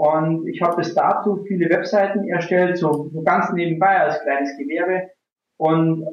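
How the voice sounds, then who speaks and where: Ordinary pitch variation in a man's high-pitched voice. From rural Bavaria, Germany. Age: 30s. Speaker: online marketing entrepreneur. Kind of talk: casual interview.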